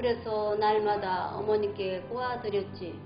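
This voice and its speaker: Over music in the background, a woman speaks at a very slow pace in a fairly high-pitched voice with fairly even intonation. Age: old. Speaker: storyteller. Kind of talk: folk tale told to children.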